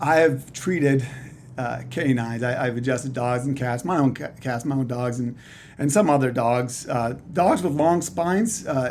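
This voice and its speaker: A man at medium pitch with a slight Canadian accent, ordinary pitch variation, a moderate pace and audible room echo. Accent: slight Canadian, sometimes heard as Texan. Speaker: chiropractor. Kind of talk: casual interview.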